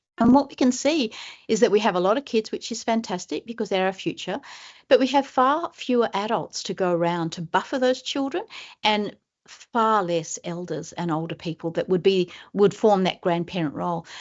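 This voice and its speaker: A woman with an Australian accent speaks at a moderate pace. Her medium pitch carries lively intonation. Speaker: professor. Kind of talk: webinar presentation. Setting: webinar.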